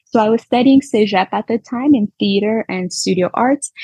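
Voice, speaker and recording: A woman speaks with lively intonation in a somewhat breathy voice. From Montreal, Quebec. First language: Spanish. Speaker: yoga teacher. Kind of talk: podcast interview.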